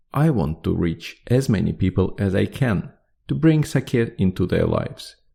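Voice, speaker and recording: Speaking at a moderate pace, a man with a non-native accent has a fairly low voice and a dark, mellow tone. His pitch swings very widely. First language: not English. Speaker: podcast host. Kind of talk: podcast monologue. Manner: halting.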